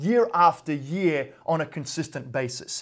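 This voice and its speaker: A man with an Australian accent speaks in a high pitch with lively intonation. The recording is very clean, with a silent background. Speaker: real estate investor and vlogger. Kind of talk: vlog monologue. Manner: casual, filler-heavy.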